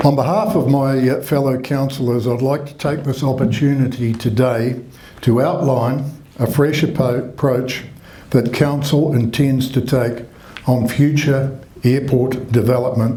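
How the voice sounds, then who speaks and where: Amid audible room echo and noticeable background noise, a man talks at a fairly slow pace with fairly even intonation. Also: medium pitch for a man. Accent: New Zealand. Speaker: mayor. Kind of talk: reading a prepared statement. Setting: public meeting with audience, microphone. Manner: formal.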